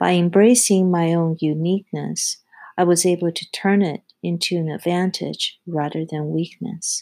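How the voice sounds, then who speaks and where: A dark, mellow tone with a non-native accent. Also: woman, fairly low pitch for a woman, fairly even intonation, moderate pace, very clean recording, silent background. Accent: foreign-accented English. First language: not English. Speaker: podcast host, project execution specialist. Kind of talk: scripted solo monologue, self-help advice.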